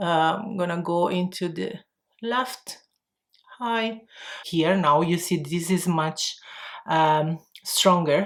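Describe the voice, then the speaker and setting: Speaking very slowly with an Italian accent, a woman uses a fairly low pitch and ordinary pitch variation on a very clean recording with a silent background. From Italy. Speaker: makeup vlogger. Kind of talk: tutorial. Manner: halting.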